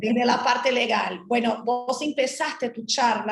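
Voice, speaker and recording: A woman at a very slow pace, fairly high in pitch with ordinary pitch variation and a Portuguese accent. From Brazil. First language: Portuguese (speaking Spanish). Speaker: trade lawyer. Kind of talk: panel talk.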